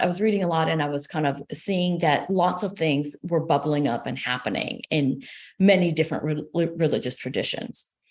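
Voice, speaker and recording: A woman talks in an Israeli accent at a fairly quick pace. Her pitch is fairly low. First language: Hebrew. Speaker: sociology professor. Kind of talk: interview. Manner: hesitant, many fillers.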